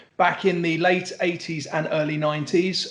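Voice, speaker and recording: An English accent at a fairly quick pace over noticeable background noise. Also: man. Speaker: music lawyer. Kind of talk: interview.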